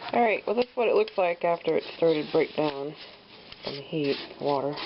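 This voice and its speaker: Noticeable background noise runs under the speech. The speaker pauses often and at length. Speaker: gardener. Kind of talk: tutorial. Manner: casual, halting with fillers.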